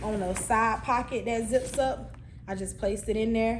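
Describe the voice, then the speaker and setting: A woman speaks with a fairly high pitch and fairly even intonation. Room echo is audible, and there is noticeable background noise. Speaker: cosmetology instructor. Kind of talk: tutorial. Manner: casual.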